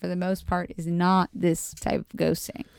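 In a dry, close recording with no echo, a woman with an unremarkable speaking voice and an American accent talks at a moderate pace. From Montgomery County, Maryland, near DC. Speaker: friend of the host. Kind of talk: casual chat. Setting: at home.

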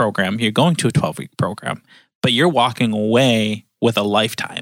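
With an American accent, a man talks at a fairly quick pace in an ordinary speaking voice at medium pitch, the sound dry and close with no echo on a very clean recording with a silent background. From Upper Peninsula of Michigan, Escanaba. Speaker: church member, Bible school graduate. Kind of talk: casual interview.

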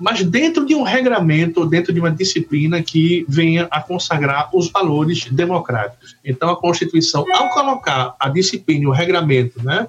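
A high-pitched man at a moderate pace, with lively intonation, very even loudness and noticeable background noise. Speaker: law professor. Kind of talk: academic discussion.

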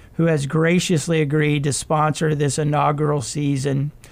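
This is a man with an ordinary speaking voice, pitched fairly high. His intonation stays fairly even. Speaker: nonprofit president and CEO. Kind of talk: prepared address.

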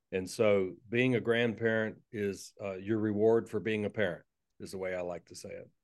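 A man with a slight Southern US accent speaks in a monotone, flat intonation, his loudness swinging widely. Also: fairly low pitch for a man, moderate pace. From US South, North Florida (Tallahassee). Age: 50s. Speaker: pastor and author. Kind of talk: casual interview conversation.

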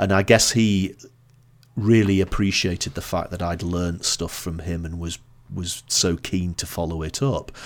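A man with a northern English accent speaks with a very deep, low pitch and fairly even intonation in a very clean recording with a silent background. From northern England, Blackpool. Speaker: marketing consultant and author. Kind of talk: podcast interview.

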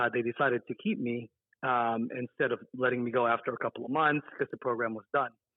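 A man with an American accent talks at a fairly quick pace in an unremarkable speaking voice. His pitch sits at a medium level, and his intonation stays fairly even. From US West, Las Vegas, Nevada. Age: 30s. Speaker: bank executive and community organization president. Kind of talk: interview.

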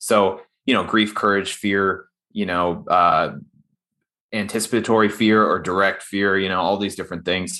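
Recorded very cleanly against a silent background, a man with a fairly low pitch and a bright, sharp tone speaks at a moderate pace with fairly even intonation. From northern Pakistan, raised abroad. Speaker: novelist and army veteran. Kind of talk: casual interview conversation.

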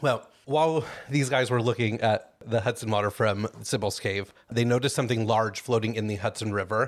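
A man talks fairly quickly in an unremarkable speaking voice, mid-range in pitch and fairly level in intonation. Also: very clean recording, silent background. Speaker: true crime podcast host. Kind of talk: casual chat with storytelling. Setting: recording with a small audience.

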